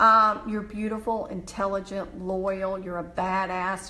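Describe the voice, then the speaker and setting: In a Southern US accent, a woman with a medium pitch and a bright, sharp tone speaks with fairly even intonation over audible room echo. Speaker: motivational speaker. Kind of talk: motivational live stream talk; reading mantras aloud. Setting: live video stream.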